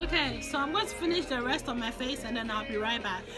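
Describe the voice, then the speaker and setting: Over music in the background, a woman talks at a very fast pace in a raised, projected voice with lively intonation. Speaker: makeup vlogger. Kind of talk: casual makeup tutorial talk to camera.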